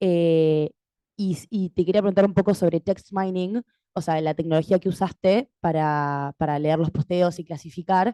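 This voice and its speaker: A woman's fairly low, dark, mellow voice at a fairly slow pace with fairly even intonation, in a dry, close sound with no echo. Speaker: doctoral student audience member. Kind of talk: audience question at academic panel.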